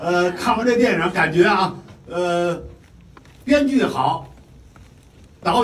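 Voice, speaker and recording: The voice moves very slowly, its pitch swinging very widely. Room echo can be heard. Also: man. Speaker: mentor of a performer. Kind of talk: promotional speech. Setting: stage with audience. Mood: cheerful, enthusiastic. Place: hall.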